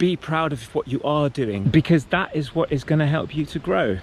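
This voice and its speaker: A man talks at a moderate pace. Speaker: wellness coach. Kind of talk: motivational talk.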